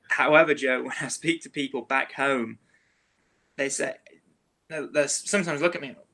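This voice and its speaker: A man with an English accent speaks at a moderate pace, with a fairly high pitch and a bright, sharp tone. His intonation stays fairly even, with big swings in loudness and long, frequent pauses. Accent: English accent, picking up Southern words. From England. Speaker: realtor. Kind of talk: interview chat.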